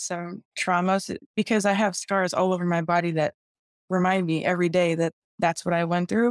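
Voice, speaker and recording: On a very clean recording with a silent background and a dry, close sound with no echo, a woman with a plain, everyday voice and an American accent speaks at a medium pitch and a fairly quick pace with fairly even intonation. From Chicago. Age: 20s. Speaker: gym owner and personal trainer. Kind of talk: interview.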